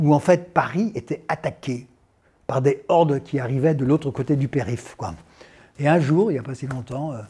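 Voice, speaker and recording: Dark, mellow, somewhat breathy tone at a moderate pace, with ordinary pitch variation, long, frequent pauses and big swings in loudness. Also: man. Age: 60s. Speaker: actor and climate activist. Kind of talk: interview testimony. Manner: hesitant, many fillers.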